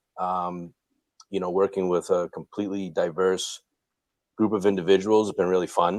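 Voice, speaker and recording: A man with a very deep, low pitch speaks at a moderate pace in a relaxed tone, with monotone, flat intonation and long, frequent pauses. The sound is dry and close, with no echo. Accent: Boston. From Boston, Massachusetts. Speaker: Dunkin' franchise owner and real estate investor. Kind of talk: podcast interview. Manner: relaxed, many fillers.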